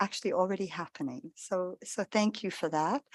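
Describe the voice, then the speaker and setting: With an American accent, a woman speaks in a plain, everyday voice at a medium pitch. The sound is dry and close with no echo, over a quiet background. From US, New York State (Catskills). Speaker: diplomat. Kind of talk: formal speech at event.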